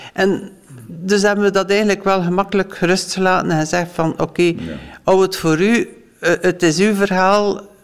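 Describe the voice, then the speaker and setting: At a fairly slow pace, the voice stays monotone and flat, with noticeable background noise behind it. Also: woman. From West Flanders, Belgium. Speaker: former foster parent. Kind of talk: interview testimony.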